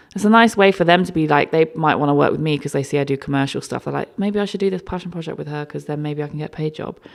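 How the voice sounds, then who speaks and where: With a South London accent, a woman talks at a very fast pace with hardly any pauses, her pitch very deep and low, her pitch variation ordinary, and noticeable background noise behind her. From London, Peckham. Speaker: creative director and stylist. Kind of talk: casual interview chat. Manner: animated.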